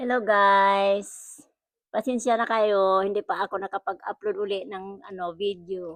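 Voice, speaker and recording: A woman with a strong Visayan accent speaks at a fairly slow pace in a medium-pitched voice with fairly even intonation. The sound is dry and close with no echo, and the background is quiet. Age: old. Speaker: amateur animator. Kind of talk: casual chat.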